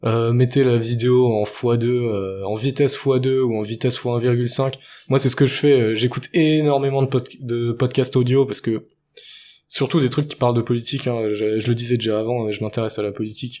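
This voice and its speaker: On a very clean recording with a silent background, a man speaks with a dark, mellow tone at a medium pitch. His intonation is fairly even and his pace fairly quick. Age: 20s. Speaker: podcaster and rapper. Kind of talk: solo monologue podcast. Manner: halting.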